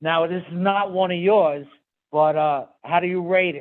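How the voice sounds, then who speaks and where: Here a man with a Brooklyn accent talks at a moderate pace. His pitch is high and his intonation fairly even. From New York, Brooklyn. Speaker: talk show host. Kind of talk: interview.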